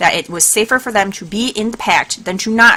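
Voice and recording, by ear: The text is read aloud in a natural voice.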